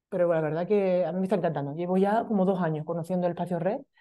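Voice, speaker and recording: A woman at a very fast pace, fairly low in pitch with a dark, mellow tone, fairly even intonation and a quiet background. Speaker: meetup organizer and web designer. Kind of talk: event introduction. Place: meeting room.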